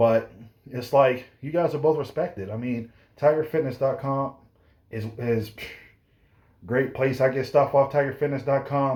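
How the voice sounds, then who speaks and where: A man with a fairly high pitch and a somewhat breathy voice talks with fairly even intonation and long, frequent pauses, on a very clean recording with a silent background. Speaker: fitness youtuber and personal trainer. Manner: fast; rambling, self-correcting.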